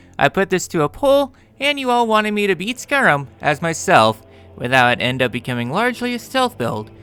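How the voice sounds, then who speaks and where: Man's voice with very wide pitch swings at a moderate pace, music in the background. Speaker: gaming youtuber. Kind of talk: scripted narration.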